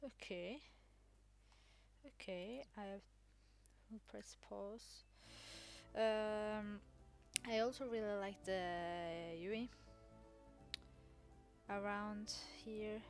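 Over music in the background, a woman talks at a very slow pace and medium pitch, with fairly even intonation and long, frequent pauses. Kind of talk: casual gameplay commentary. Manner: mumbling, hesitant.

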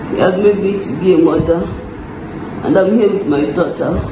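A woman's voice comes through with noticeable noise in the background. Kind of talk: casual vlog chat. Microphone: phone near.

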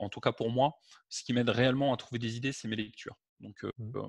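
A man speaks at a fairly quick pace with a medium pitch and fairly even intonation. The sound is dry with no echo over a quiet background. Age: 40s. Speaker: web marketing entrepreneur; interviewee. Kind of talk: interview. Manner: hesitant, with fillers. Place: home room. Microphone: headset.

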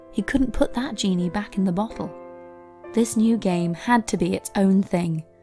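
Over music in the background, a woman speaks at a moderate pace with ordinary pitch variation. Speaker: video narrator. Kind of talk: documentary story narration.

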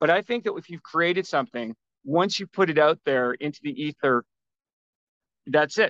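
A man with a Canadian accent speaks at a fairly high pitch and moderate pace, with lively intonation, long, frequent pauses and big swings in loudness, in a dry sound with no echo against a quiet background. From Vancouver, Canada; British Columbia, Canada. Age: 50s. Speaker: self-published author; podcast guest. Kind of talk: interview. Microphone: video call.

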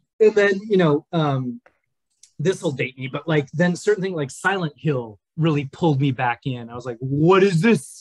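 Somewhat breathy and fairly high-pitched, a man speaks with lively intonation and an American accent, the sound dry with no echo and the background quiet. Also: moderate pace. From US Midwest, rural Minnesota. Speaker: game writer; podcast guest. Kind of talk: casual chat. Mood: relaxed, warm, smiling. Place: home room. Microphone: webcam.

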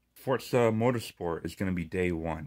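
A man speaks in a furious tone. His intonation is lively. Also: quiet background. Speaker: gaming YouTuber. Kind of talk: angry rant about a subscription price hike, swearing and fed up. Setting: solo video, speaking to viewers. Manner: furious, sarcastic, emphatic, venting with repeated swearing; stumbling and repeating words as he rants. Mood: annoyed, ranting. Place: home room. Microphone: phone near.

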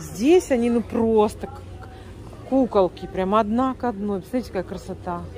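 With music in the background, a woman speaks at a moderate pace with ordinary pitch variation and long, frequent pauses, in a dry sound with no echo. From Siberia, Russia. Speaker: vlogger, home cook, Russian immigrant in US. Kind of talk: casual vlog, cooking and shopping. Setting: kitchen and store, recorded on the go. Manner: animated, chatty. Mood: delighted, admiring. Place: shop. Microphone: phone near.

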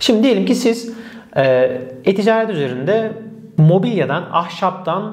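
The man's speech carries lively intonation. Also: quiet background. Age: 30s. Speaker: e-commerce consultant; e-commerce educator. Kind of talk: tutorial. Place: office. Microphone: lapel.

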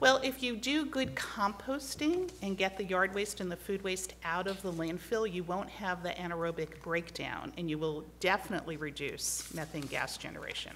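A woman talks at a moderate pace with lively intonation and hardly any pauses. Light background noise sits behind her. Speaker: environmental advocate testifying at hearing; witness. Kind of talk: testimony at legislative hearing. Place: hall. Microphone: podium.

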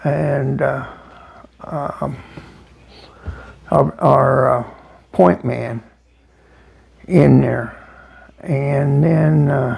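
A man speaks with an American accent at a very slow pace. He takes long, frequent pauses. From United States. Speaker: Vietnam war veteran. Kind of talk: interview answer. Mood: reflective, somber war memories. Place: home room. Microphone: lapel.

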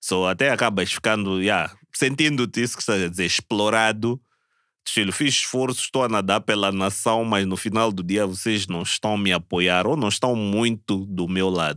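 A man's fairly low voice has a bright, sharp tone and ordinary pitch variation, recorded dry with no echo against a quiet background. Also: moderate pace. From Mozambique. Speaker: Olympic swimmer; podcast guest. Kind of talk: casual chat. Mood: relaxed, laughing at times. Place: studio. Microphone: studio mic.

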